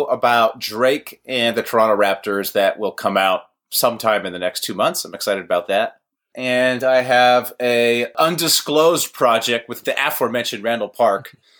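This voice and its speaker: Here is a man with a plain, everyday voice and an American accent. He speaks at a moderate pace and medium pitch, with lively intonation. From Los Angeles, US. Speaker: comedy web video creator and podcaster. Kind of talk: casual interview chat.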